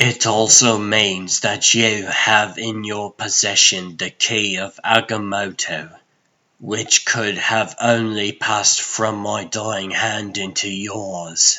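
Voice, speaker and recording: A man puts on a character voice at a fairly low pitch. He talks very slowly in a flat monotone. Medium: fan dub. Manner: formal, grave.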